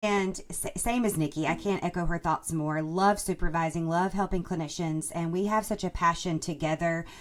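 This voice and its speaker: With an Alabama accent, a woman speaks in a fairly low pitch at a moderate pace, with fairly even intonation and hardly any pauses. The recording is very clean, with a silent background. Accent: Southern US (Alabama) accent, noticeable. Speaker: speech-language pathologist and podcast co-host. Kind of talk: casual podcast chat.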